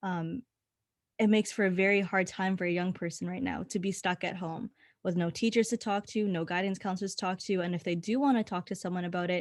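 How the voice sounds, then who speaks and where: Speaking with a Canadian accent, a woman talks at a very fast pace and medium pitch, with fairly even intonation, on a very clean recording with a silent background. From Winnipeg, Canada. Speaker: university student, youth panelist. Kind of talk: panel discussion.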